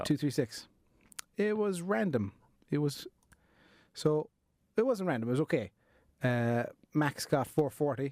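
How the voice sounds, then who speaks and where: Here a man with an Irish accent speaks at a fairly high pitch with lively intonation, at a fairly slow pace with long, frequent pauses. The recording is very clean with a silent background and a dry, close sound with no echo. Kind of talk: casual podcast conversation.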